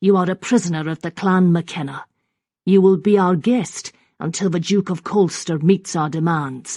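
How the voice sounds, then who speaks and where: A put-on character voice sits at a middle pitch. The background is quiet. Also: moderate pace. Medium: read story. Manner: firm, commanding.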